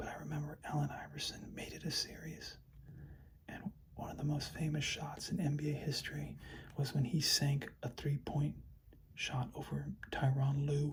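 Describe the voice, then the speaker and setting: The voice is soft-spoken. It moves at a moderate pace. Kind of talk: soft-spoken ASMR card showing.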